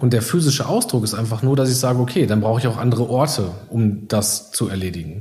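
A man rattles along at a very fast pace. Noticeable noise sits in the background. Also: medium pitch for a man, ordinary pitch variation. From Iserlohn, Sauerland, Germany. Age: 30s. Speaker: coworking space founder. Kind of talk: interview.

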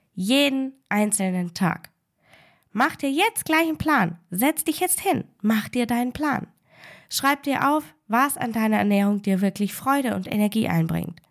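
A woman's fairly high, warm and upbeat voice at a fairly slow pace with very wide pitch swings. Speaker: food and life coach, podcast host. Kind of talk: pep talk, direct motivational address to the listener. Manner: warm, encouraging, emphatic, upbeat; direct, repeating key phrases for emphasis.

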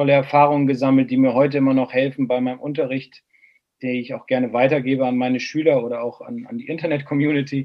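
Here is a man with an ordinary speaking voice and a fairly high pitch. His intonation stays fairly even. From northern Germany, Bremen. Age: 40s. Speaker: golf instructor. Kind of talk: casual chat.

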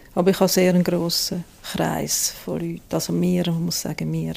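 This woman speaks at a moderate pace. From Switzerland, Zurich region. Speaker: family caregiver. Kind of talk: interview. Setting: at home.

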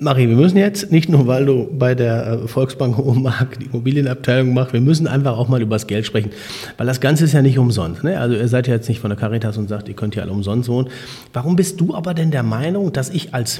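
A man talks at a fairly quick pace. Noticeable noise fills the background. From Münsterland, Germany. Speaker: podcast host. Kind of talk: casual interview.

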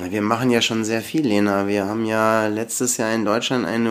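A man's voice pitched mid-range, a normal speaking voice, at an average speed. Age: 50s. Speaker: company founder and electrical engineer. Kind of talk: podcast interview.

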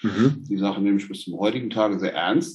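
This is a man speaking. His pace is moderate. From Germany, Hesse. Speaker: orthotics company founder. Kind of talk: casual chat.

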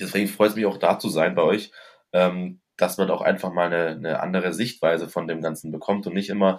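This man speaks with a very deep, low pitch. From Stuttgart, Germany. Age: 20s. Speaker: master butcher. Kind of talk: casual interview. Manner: halting, many fillers.

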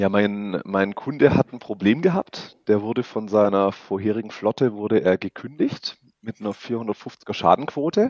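Man with a plain, everyday voice, fairly low pitch and ordinary pitch variation, at a fairly slow pace with hardly any pauses. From Stuttgart, Swabia. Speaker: insurance broker. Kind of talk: interview. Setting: phone call.

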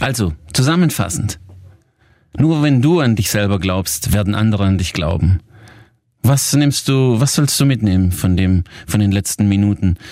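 Speaking at a moderate pace with long, frequent pauses, a man with a fairly low pitch and a dark, mellow tone uses lively intonation at a very even loudness. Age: 40s. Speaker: success coach and podcast host. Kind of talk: coaching podcast talk.

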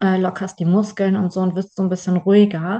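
A woman's somewhat breathy voice at a medium pitch, with a dark, mellow tone. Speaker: podcast host and trainer. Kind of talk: casual chat.

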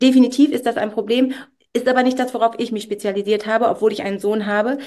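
Talking at a very fast pace, a woman keeps her intonation fairly even. Her pitch sits fairly high. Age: 40s. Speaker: stylist and coach. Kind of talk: podcast interview.

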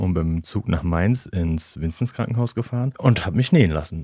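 A man's very deep, low pitch and dark, mellow tone, with lively intonation at a moderate pace, in a very clean recording with a silent background. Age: 30s. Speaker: interview guest. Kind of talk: casual interview. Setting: studio.

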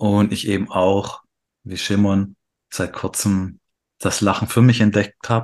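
Against a quiet background, a man with a fairly low voice speaks fairly slowly, his intonation fairly even. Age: 30s. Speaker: podcast co-host. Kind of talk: casual chat.

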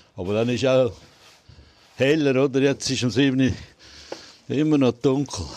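There is noticeable background noise behind this man. He talks at a fairly slow pace, with long, frequent pauses. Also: medium pitch for a man, ordinary pitch variation. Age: old. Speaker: deer park keeper. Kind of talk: casual interview. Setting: outdoors.

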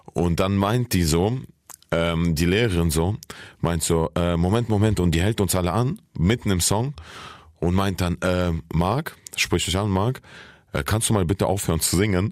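The recording is very clean, with a silent background. A man with a very deep, low pitch speaks at a fairly slow pace, leaving long, frequent pauses. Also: ordinary pitch variation, very even loudness. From Saarland, Germany (born in Kyrgyzstan). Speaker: comedian and rapper. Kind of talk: casual chat.

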